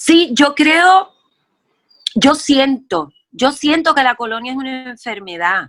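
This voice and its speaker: Her tone is bright and sharp as this woman speaks at a very slow pace. Her intonation is lively. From Puerto Rico. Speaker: actress and playwright. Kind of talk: interview answer.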